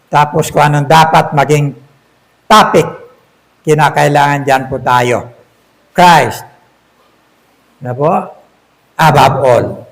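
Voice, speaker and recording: A man speaks at a very slow pace, leaving long, frequent pauses. His pitch is fairly high with ordinary variation, and room echo is audible. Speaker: pastor. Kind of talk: sermon. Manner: loud.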